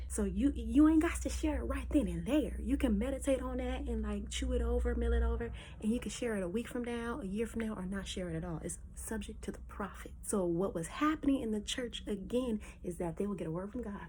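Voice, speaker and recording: A woman speaks in an animated tone at a fairly quick pace, with hardly any pauses. Audible room echo surrounds her voice. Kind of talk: casual Bible teaching.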